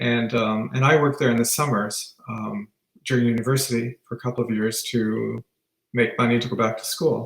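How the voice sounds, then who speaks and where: At a moderate pace, a man with an unremarkable speaking voice and a Canadian accent speaks at a medium pitch with fairly even intonation. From Northern Ontario, Canada (Sault Ste. Marie). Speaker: retired teacher. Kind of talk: interview.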